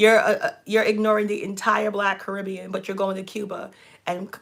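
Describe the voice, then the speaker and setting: Against noticeable background noise, a woman with a New York accent talks at a fairly quick pace in an animated tone with a medium pitch. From New York, Brooklyn. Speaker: relationship coach and channel host. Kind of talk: casual chat.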